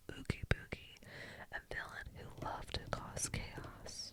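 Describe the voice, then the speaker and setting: A woman whispers fairly slowly, with noticeable background noise behind her. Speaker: ASMR reader. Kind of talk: whispered bedtime story reading. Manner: whispered, soft.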